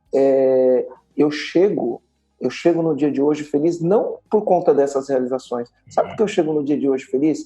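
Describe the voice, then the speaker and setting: Music plays in the background as a man speaks at a moderate pace. His voice is fairly high-pitched, with ordinary pitch variation. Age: 40s. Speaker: entrepreneur and business mentor. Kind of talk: podcast interview. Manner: emphatic, repetitive.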